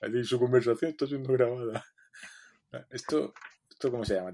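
A man speaks very fast, his pitch medium and varying in an ordinary way. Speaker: podcast co-host, software developer. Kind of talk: casual chat.

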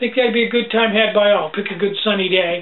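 A man's high-pitched voice, with fairly even intonation, at a fairly quick pace. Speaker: small business owner vlogger. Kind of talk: casual vlog chat. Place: home room. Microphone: webcam.

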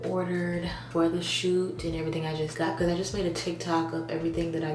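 The speaker talks at a very fast pace with fairly even intonation. Noticeable background noise runs through the clip. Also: woman. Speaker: content creator. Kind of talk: casual vlog chat. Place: bathroom. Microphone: phone near.

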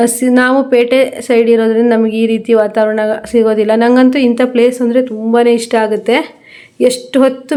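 A woman speaks with a high pitch and a dark, mellow tone. Her intonation is monotone and flat, and her loudness stays very even. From Karnataka, Shivamogga area. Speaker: vlogger, tailor. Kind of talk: casual vlog narration. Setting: outdoors, riding a motorbike.

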